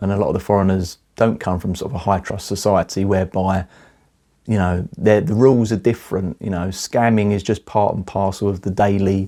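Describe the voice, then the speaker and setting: Fairly low-pitched and dark, mellow in tone, a man's voice with an English accent and fairly even intonation. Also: fairly quick pace. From England. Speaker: artist and vlogger. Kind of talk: casual monologue vlog. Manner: halting, repeats words.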